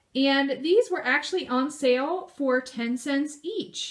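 A woman's lively intonation against a quiet background. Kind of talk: casual vlog chat. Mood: cheerful, pleased about deals. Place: home room. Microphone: phone near.

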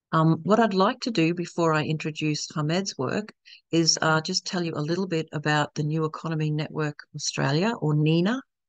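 A woman's very deep, low voice at a moderate pace, with ordinary pitch variation, a dry sound with no echo and a quiet background. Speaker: event host for a network. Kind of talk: webinar presentation. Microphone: video call.

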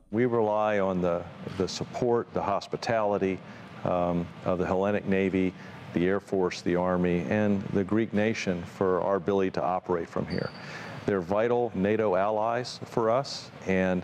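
Against light background noise, a man speaks at a moderate pace and fairly low pitch, with very even loudness and fairly even intonation. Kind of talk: interview answer. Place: hall.

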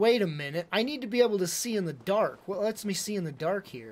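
At a fairly quick pace, a man speaks with lively intonation and a high pitch. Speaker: video game streamer. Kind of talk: live gameplay commentary. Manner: animated. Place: home room. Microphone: headset.

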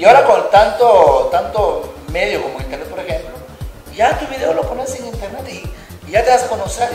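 Over clear music and audible room echo, a man speaks at a moderate pace. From Guatemala. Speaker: comedian. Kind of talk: interview answer. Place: studio. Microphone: camera far.

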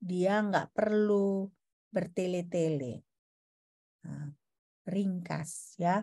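Against a quiet background, a somewhat breathy voice with a dark, mellow tone moves at a very slow pace, its pitch varying in an ordinary way. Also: woman. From Indonesia. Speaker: university lecturer. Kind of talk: lecture. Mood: relaxed, informal teaching tone. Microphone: video call.

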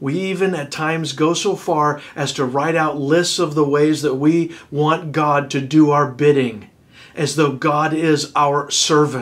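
This man's voice sits at a fairly high pitch. His intonation stays fairly even. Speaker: pastor. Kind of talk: sermon. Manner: earnest, pleading, exhorting congregation; formal, preacherly, with some hesitations. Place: home room.

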